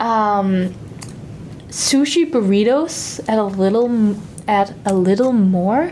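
A woman in a Danish accent, very slow, with lively intonation and very even loudness, over noticeable background noise. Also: medium pitch for a woman. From Denmark. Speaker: exchange student. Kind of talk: casual chat. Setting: studio.

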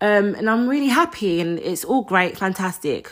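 Loud and animated, a woman talks at a fairly quick pace and medium pitch on a very clean recording with a silent background. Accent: London. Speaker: podcast host. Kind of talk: solo monologue.

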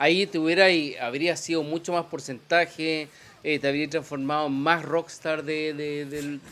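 Bright, sharp tone in a Chilean accent. The intonation is monotone and flat, at a fairly slow pace. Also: man, fairly high pitch for a man. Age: 40s. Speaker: podcast host. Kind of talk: casual chat.

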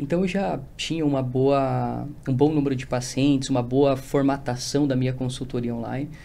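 Over audible room echo, a man talks at a moderate pace and medium pitch with fairly even intonation and hardly any pauses. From Rio Grande do Sul, Brazil. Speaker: nutritionist. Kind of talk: casual interview.

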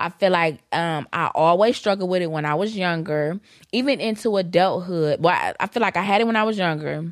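An unremarkable speaking voice from a woman, medium in pitch with ordinary variation, at a fairly quick pace on a very clean recording with a silent background. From Detroit, Michigan. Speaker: podcast co-host. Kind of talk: casual chat.

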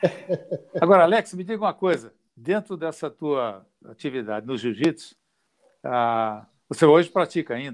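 At a moderate pace, this voice shows very wide pitch swings and big swings in loudness on a very clean recording with a silent background. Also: man, fairly high pitch for a man. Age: old. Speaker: jiu-jitsu grandmaster. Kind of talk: casual live stream chat.

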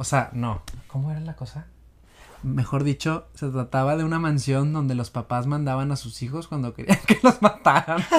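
Moderate pace in a very clean recording with a silent background. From Monterrey, northeastern Mexico. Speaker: musical theatre actor. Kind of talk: casual chat.

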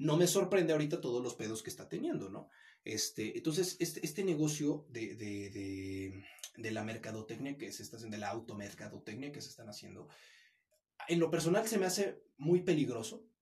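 Somewhat breathy and at a fairly quick pace, a man speaks in a fairly high pitch with very wide pitch swings and big swings in loudness. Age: 20s. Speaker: former social media video creator. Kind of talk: casual chat. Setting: host's home or office.

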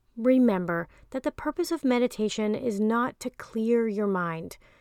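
In an unremarkable speaking voice, a woman speaks at a fairly slow pace with a fairly high pitch and ordinary pitch variation, captured dry and close with no echo on a very clean recording with a silent background. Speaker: meditation guide and life coach. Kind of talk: guided meditation. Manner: slow, soothing and calm, with long pauses; gentle, soft-spoken, reassuring.

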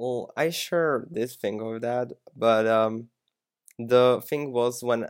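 This man speaks at a medium pitch with a Slovak accent. The sound is dry and close, without echo. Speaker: TikTok creator and aspiring musician. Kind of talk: casual interview.

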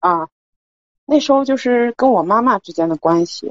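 This woman speaks at a fairly slow pace, her pitch swinging very widely. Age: 30s. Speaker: caller. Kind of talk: personal advice call. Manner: halting.

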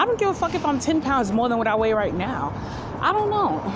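A woman talks at a very fast pace in a high voice, her pitch swinging very widely. Background noise is noticeable. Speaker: solo podcaster. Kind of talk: casual monologue. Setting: outdoors walking, on phone.

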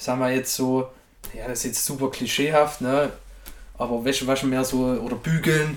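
Speaking in a flat monotone at a moderate pace, a man leaves long, frequent pauses. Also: medium pitch for a man. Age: 20s. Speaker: podcast guest. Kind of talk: casual chat.

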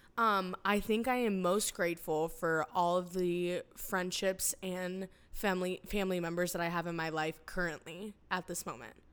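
At a moderate pace and medium pitch, a woman speaks with hardly any pauses. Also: fairly even intonation. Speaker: podcast co-host. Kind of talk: casual chat. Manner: talkative.

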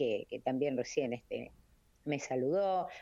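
A woman's very deep, low, dark and mellow voice with lively intonation at a fairly slow pace, over a quiet background. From Argentina, Varadero (Buenos Aires province). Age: 70s. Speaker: retired teacher and charity association head. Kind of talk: casual interview. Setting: phone call.

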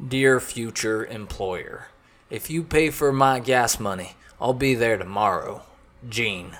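Using a put-on character voice, a man speaks fairly slowly at a medium pitch with ordinary pitch variation. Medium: read story. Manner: blunt, gruff.

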